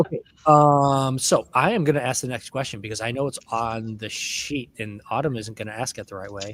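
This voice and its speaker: The voice is loud and moves at a moderate pace. Its pitch variation is ordinary. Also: man, medium pitch for a man. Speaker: librarian. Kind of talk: casual chat. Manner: animated.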